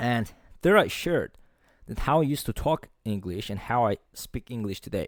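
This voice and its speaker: A man talks with a non-native accent and lively intonation. The recording is very clean with a silent background, dry and close with no echo. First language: not English. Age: 20s. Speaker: motivational podcaster. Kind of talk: solo podcast monologue. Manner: forceful, profanity-laden; occasional stumbles.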